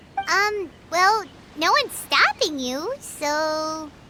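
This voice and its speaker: An extremely high-pitched, put-on character voice speaks at a very slow pace. Clear background noise sits behind it. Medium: video game. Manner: blunt, teasing.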